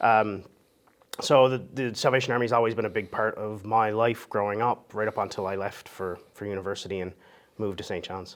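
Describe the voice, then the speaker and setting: Fast and flat, a man talks in a rural Newfoundland accent. His pitch is fairly low and his pace very fast, with monotone intonation. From Newfoundland, Notre Dame Bay (Lewisporte). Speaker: interview guest. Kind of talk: interview conversation.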